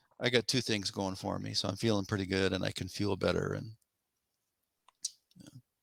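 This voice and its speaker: Male voice, fairly low-pitched with vocal fry, flat and monotone, at a fairly quick pace broken by long, frequent pauses. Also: big swings in loudness, dry, close sound with no echo. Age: 70s. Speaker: triathlete. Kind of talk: interview. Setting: podcast.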